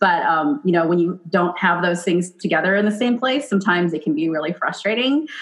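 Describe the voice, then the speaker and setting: A woman speaks at a fairly quick pace in a fairly low pitch, with lively intonation. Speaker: chef and podcast host. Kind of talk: casual chat. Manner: fast; animated.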